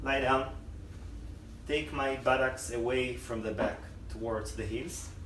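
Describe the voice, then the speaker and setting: The speech comes at a fairly slow pace, with noticeable background noise behind it. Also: man. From Israel. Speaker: yoga teacher. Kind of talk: yoga instruction. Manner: calm, slow.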